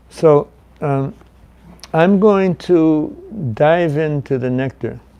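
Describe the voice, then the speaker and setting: The recording carries noticeable background noise behind a man's voice. His pitch is fairly high, with ordinary variation. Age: 70s. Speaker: guest speaker teaching a scripture class. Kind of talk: scripture class. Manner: conversational, halting.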